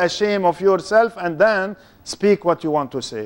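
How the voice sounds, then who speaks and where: A man with a non-native accent speaks in an animated tone with ordinary pitch variation. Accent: foreign. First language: not English; speaks three languages. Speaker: Islamic lecturer. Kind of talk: lecture. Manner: animated, interactive with audience.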